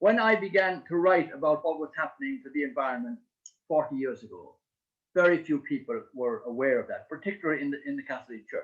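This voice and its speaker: This man talks very fast in a high voice, with very wide pitch swings and big jumps in loudness. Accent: Irish. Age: 70s. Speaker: priest and author. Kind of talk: book launch speech. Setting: online video event. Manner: halting, many hesitations.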